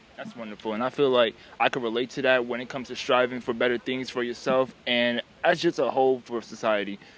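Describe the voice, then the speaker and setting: Delivered at a very fast pace with an American accent, the speech has fairly even intonation. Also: man, medium pitch for a man. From South Carolina. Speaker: street interviewer. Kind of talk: street interview.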